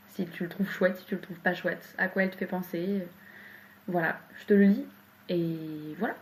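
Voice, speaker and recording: A woman's medium-pitched, somewhat breathy voice at a moderate pace, broken by long, frequent pauses. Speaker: poet. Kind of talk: interview. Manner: halting.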